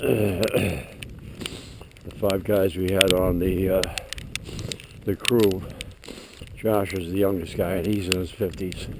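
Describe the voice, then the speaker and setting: A man's very deep, low voice in a monotone, flat delivery, very slow with long, frequent pauses, over noticeable background noise. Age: 70s. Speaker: vlogger walking his dog. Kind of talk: casual vlog monologue. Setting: outdoors. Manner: halting, many fillers.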